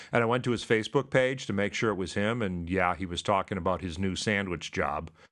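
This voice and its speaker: A man talks in a very deep, low pitch at a fairly quick pace with ordinary pitch variation. The background is quiet. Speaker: comedian podcast host. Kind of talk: casual comedy chat. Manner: halting, many fillers.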